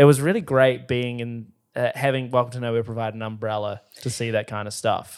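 Speaking fairly quickly with a New Zealand accent, a man at medium pitch keeps his intonation fairly even while his loudness swings widely, on a very clean recording with a silent background. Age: 20s. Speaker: podcast host. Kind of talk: casual chat.

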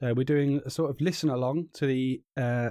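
A man's medium-pitched, dark, mellow voice with a British accent and ordinary pitch variation, on a very clean recording with a silent background. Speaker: podcast host and co-commentator. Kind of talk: live sports commentary, listen-along to a race. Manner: casual, chatty, bantering; describing the race action as it happens.

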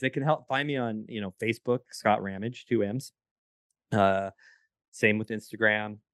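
A man with an unremarkable speaking voice talks at a moderate pace, in a fairly low pitch with fairly even intonation. The sound is dry and close with no echo, over a quiet background. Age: 40s. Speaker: entrepreneur and podcast services provider. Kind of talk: casual chat.

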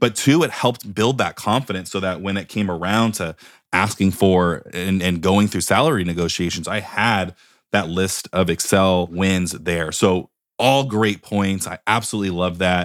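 In a very clean recording with a silent background, the speech keeps a moderate pace and ordinary pitch variation. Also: man, very deep, low pitch for a man. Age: 20s. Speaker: podcast host. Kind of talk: interview. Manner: animated.

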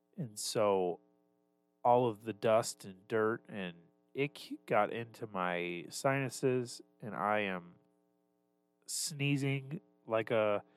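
A man's medium-pitched voice at a very slow pace, with long, frequent pauses, ordinary pitch variation and music in the background. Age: 20s. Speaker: podcast host. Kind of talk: casual chat.

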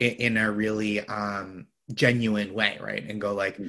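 A man in a normal speaking voice with a fairly low pitch, a moderate pace, and an American accent. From Boston area. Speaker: comedian and TV writer. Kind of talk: casual chat.

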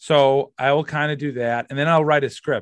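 With an American accent, a man talks at a fairly quick pace over a quiet background. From Massachusetts. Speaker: comedian. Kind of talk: casual interview chat. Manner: halting, many fillers.

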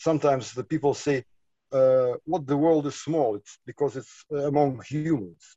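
A man speaks with a Lithuanian accent. His voice is fairly high-pitched for a man. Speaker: artist and micronation representative. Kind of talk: interview. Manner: halting, many fillers.

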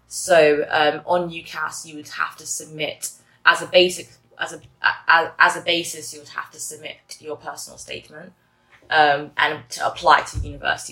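A woman with an English accent speaks at a fairly quick pace in a very deep, low voice and a flat monotone. Her loudness swings widely, and music plays in the background. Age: 20s. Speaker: university student. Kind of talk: interview. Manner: hesitant, many fillers.

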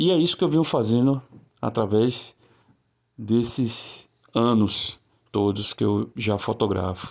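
A man's medium-pitched voice at a very slow pace, with long, frequent pauses, very even loudness and ordinary pitch variation, on a very clean recording with a silent background. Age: 40s. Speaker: photographer. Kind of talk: video presentation of own work.

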